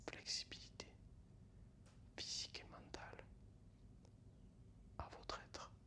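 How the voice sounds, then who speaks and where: Whispering at a very slow pace, a man speaks in a calm tone with long, frequent pauses. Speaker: ASMR creator. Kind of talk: ASMR relaxation and guided breathing. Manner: soft-spoken, calm.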